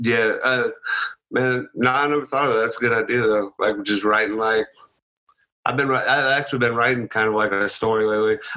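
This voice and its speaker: With an American accent, a man talks at a fairly quick pace in a medium-pitched, bright and sharp voice, keeping his intonation fairly even and his loudness very even. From Illinois, US Midwest. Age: 20s. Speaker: podcast guest, psychedelic community member. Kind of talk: casual chat.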